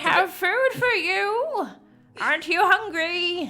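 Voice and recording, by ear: A put-on character voice at extremely high pitch drags along at a very slow pace.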